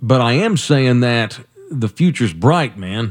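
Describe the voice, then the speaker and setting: The man's voice is at a medium pitch. Behind him the background is silent, the recording very clean. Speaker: radio host. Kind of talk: radio host patter. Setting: studio. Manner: upbeat, chatty, bantering.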